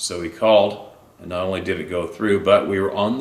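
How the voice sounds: Fairly even intonation in a natural-sounding reading voice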